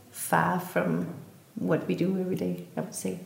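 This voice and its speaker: A woman speaks with a Danish accent. Noticeable background noise and audible room echo surround her voice. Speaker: furniture company heir. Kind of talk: interview.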